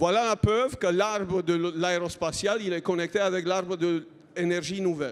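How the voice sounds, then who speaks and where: A man with a non-native accent, high pitch, moderate pace and ordinary pitch variation. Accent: foreign accent in French. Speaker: innovation program manager, engineer. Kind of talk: conference talk.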